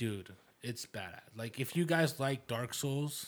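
A man with a medium pitch talks in an animated tone. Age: 20s. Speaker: podcast co-host. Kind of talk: casual chat.

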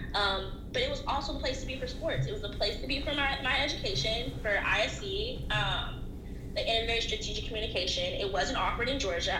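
A woman talks at a fairly quick pace in an American accent. Audible room echo and noticeable background noise are present. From US South, Atlanta. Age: 20s. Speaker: graduate student in sports business. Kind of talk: casual interview chat.

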